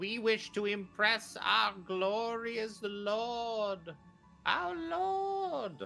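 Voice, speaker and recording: Someone in a put-on character voice cackles at a fairly high pitch and a very slow pace, with faint music in the background. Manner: cackling, evil.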